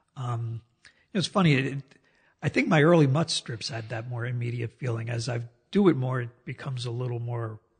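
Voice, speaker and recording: In an American accent, a man speaks at a moderate pace with a somewhat breathy, medium-pitched voice and ordinary pitch variation. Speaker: cartoonist. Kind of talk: casual interview.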